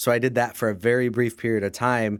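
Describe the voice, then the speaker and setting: Very clean and silent in the background, the recording carries a man's ordinary speaking voice. He is at medium pitch and a fairly quick pace. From Canada, Windsor, Ontario. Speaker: mortgage industry leader and minister. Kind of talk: interview conversation.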